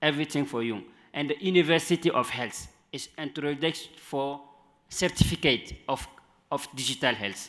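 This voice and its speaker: A man talks with a non-native accent. His pitch variation is ordinary. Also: fairly high pitch for a man, moderate pace. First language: not English. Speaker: panelist. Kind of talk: panel discussion. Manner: halting.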